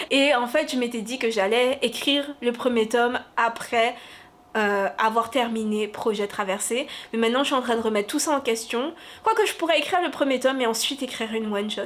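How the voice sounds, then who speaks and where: Delivery moves along fairly quickly. The voice rises and falls an ordinary amount. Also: woman, high pitch for a woman. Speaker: novelist and booktuber. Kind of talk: casual vlog. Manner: energetic, excited.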